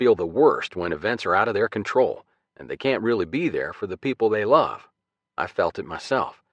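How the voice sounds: A natural reading voice is heard over a quiet background.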